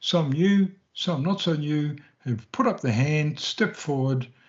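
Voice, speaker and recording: Somewhat breathy, a man talks at a fairly slow pace with a fairly high pitch. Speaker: podcast host. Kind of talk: podcast host introduction. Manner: upbeat.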